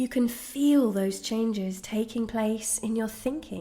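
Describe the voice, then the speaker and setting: Here is a woman with a plain, everyday voice. She talks at a fairly high pitch and a fairly slow pace. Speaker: guided meditation guide. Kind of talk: guided meditation narration. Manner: slow, calm, soothing.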